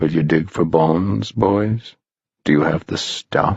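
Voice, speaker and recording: Pitched very deep and low, a man's voice takes on a put-on character. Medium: read story. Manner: dramatic, theatrical.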